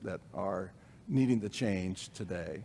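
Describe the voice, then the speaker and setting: In an American accent, a man with a normal speaking voice talks at a fairly slow pace with lively intonation. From Illinois. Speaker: pastor. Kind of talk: church discussion.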